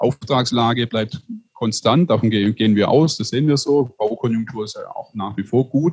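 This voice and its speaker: This man's medium-pitched voice comes across as somewhat breathy. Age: 30s. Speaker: publisher, family business owner. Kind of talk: interview conversation. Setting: video call.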